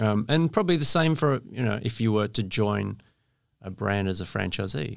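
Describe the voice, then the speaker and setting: On a very clean recording with a silent background, a man with an Australian accent speaks with lively intonation at a fairly low pitch. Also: moderate pace. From Perth, Western Australia. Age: 40s. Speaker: franchise marketing director. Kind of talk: interview. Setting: studio, drinking wine.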